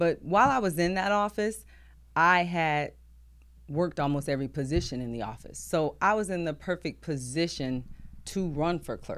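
A woman speaks in a plain, everyday voice with an American accent, her fairly low pitch carrying lively intonation at a moderate pace on a very clean recording with a silent background. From New Jersey, East Orange. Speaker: school district finance chief, former city clerk. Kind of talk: casual interview.

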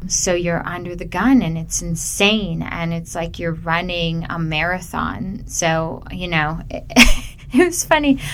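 The voice shows ordinary pitch variation, and audible room echo can be heard. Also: woman, fairly low pitch for a woman, fairly slow pace. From Canada, Ontario (Burlington). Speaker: filmmaker. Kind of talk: interview. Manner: halting with fillers.

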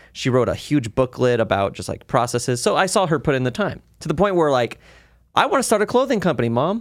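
A man's fairly high voice at a very fast pace, with very wide pitch swings. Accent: American. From Las Vegas, Nevada, US. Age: 20s. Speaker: studio co-owner and online creator. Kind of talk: casual chat.

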